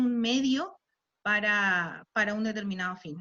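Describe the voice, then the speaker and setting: A woman speaks in a fairly high pitch, with ordinary pitch variation. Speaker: lawyer and university lecturer. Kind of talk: talk at online panel. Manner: hesitant, many fillers.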